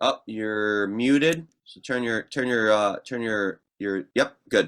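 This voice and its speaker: A very slow pace in a Midwestern accent, with ordinary pitch variation and big swings in loudness. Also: man, medium pitch for a man. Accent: Midwestern, getting stronger. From Ohio, US Midwest. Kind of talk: casual interview chat. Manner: animated.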